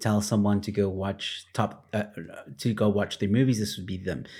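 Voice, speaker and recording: A man with an American accent and an ordinary speaking voice talks at a moderate pace and a fairly low pitch, on a very clean recording with a silent background. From Texas, US. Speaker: podcast co-host. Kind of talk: casual banter chat. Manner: laid-back, laughing.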